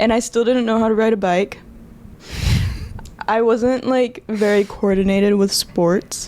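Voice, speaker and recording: The pace is fairly slow and the pitch varies in an ordinary way. Background noise is noticeable. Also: woman. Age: 20s. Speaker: ballet dancer. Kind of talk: casual chat.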